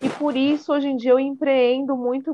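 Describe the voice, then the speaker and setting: A woman talks at a fairly quick pace. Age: 30s. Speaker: entrepreneur and teacher. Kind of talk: casual chat.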